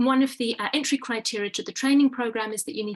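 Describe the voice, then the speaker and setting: The speaker talks at a very fast pace in a British accent, with ordinary pitch variation. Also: woman. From UK. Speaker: pain medicine physician. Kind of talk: webinar presentation. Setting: online webinar.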